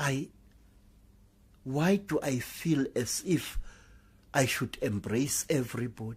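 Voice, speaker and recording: A man with a somewhat breathy, medium-pitched voice talks at a very slow pace with ordinary pitch variation and long, frequent pauses. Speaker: sangoma storyteller. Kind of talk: live oral storytelling.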